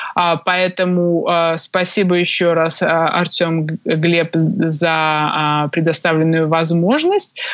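A woman's fairly low, monotone, flat voice at a very slow pace, with very even loudness and hardly any pauses. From Belarus, Minsk. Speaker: tax lawyer. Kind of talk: interview. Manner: hesitant, many fillers.

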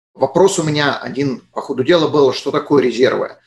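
An ordinary speaking voice from a man, fairly high in pitch, at a fairly quick pace. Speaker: podcast host. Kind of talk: interview. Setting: studio.

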